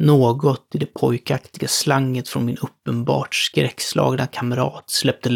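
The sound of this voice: An unforced reading voice, its intonation fairly even throughout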